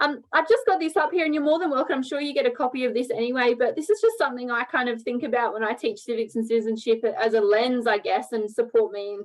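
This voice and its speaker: A woman with an Australian accent, high pitch, ordinary pitch variation, and a very fast pace. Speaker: teacher. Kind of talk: online professional development presentation.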